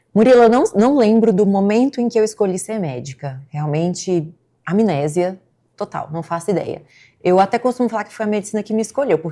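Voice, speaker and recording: The speaker has a Brasília accent and a dark, mellow tone, with lively intonation at a fairly quick pace. Loudness swings widely, and the recording is very clean with a silent background. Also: woman, medium pitch for a woman. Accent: Brasília Brazilian. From Brasília, Brazil. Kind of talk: conversational interview.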